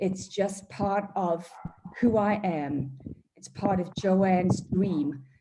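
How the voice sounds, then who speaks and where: Speaking at a very slow pace with an South African accent, a woman keeps a medium pitch with ordinary pitch variation and big swings in loudness. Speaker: charity board member and auctioneer. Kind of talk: charity auction presentation. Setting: video call. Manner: animated.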